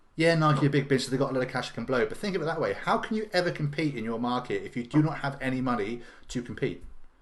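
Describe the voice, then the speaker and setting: Speaking very fast with hardly any pauses, a man uses lively intonation at a fairly high pitch. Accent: English. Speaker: business coach. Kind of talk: live stream talk to viewers. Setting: live video stream to camera. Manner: mumbling.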